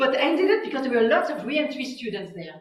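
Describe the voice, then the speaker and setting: A woman's high voice in a Quebec accent, with very wide pitch swings and audible room echo. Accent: French Canadian accent in English. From Quebec, French Canada. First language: French. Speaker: physicist. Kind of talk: public talk. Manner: hesitant, many fillers.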